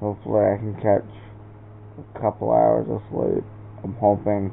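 The speaker is a man. His pitch is fairly low. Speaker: vlogger. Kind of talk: casual vlog chat. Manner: slow, low, sleepy late-night talk. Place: home room. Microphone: phone near.

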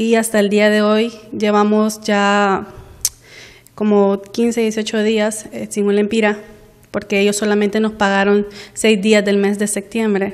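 A woman with a Honduran accent speaks at a very slow pace in a monotone, flat intonation over a quiet background. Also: medium pitch for a woman. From Honduras, Puerto Cortés; Honduras. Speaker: employee denouncing workplace abuse. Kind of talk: news interview testimony. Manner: halting, with many fillers. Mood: aggrieved, complaining. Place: office.

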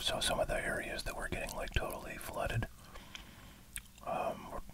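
Soft-spoken and whispering, the speaker is set against loud background noise. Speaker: streamer commenting on news. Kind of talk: casual commentary. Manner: soft ASMR whisper, casual rambling.

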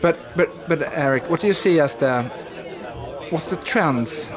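Crowd noise sounds in the background. A man speaks over it with ordinary pitch variation. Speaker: interviewer. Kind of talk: interview questions. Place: meeting room.

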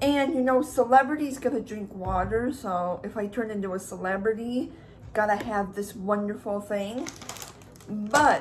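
A woman talks at a moderate pace with ordinary pitch variation against light background noise. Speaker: vlogger. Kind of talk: casual vlog chat. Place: kitchen. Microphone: phone near.

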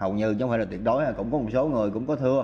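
A man's slightly mellow tone with fairly even intonation

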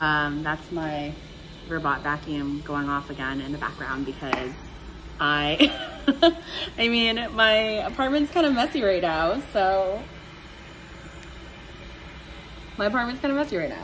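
The voice moves at a moderate pace with very wide pitch swings. Long, frequent pauses break it up, and there is light background noise. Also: woman. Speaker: vlogger. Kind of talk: casual vlog chat. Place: home room. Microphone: phone near.

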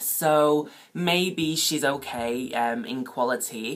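A woman is speaking. Her pitch variation is ordinary. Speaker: toy review vlogger. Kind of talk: casual vlog chat. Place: home room. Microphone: phone near.

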